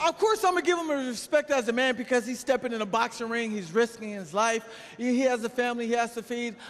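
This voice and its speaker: With noticeable background noise behind him, an animated man with an American accent talks at a very fast pace in an extremely high pitch. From United States. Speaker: boxer. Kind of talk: heated debate.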